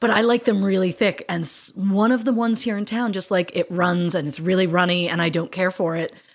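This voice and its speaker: With an unremarkable speaking voice, a woman talks at a fairly quick pace with hardly any pauses, a medium pitch and ordinary pitch variation. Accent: Canadian. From Canada, Ontario. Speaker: true crime podcast co-host. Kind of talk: casual chat. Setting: video call.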